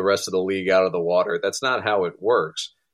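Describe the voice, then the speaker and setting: A man talks at a fairly quick pace. The recording is very clean, its background silent. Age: 30s. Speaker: college baseball head coach. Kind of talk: interview.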